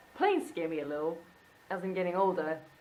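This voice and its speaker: In a room with audible echo, a woman talks at a medium pitch. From Wales, Bridgend. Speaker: illustrator and vlogger. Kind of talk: casual vlog monologue. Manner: animated.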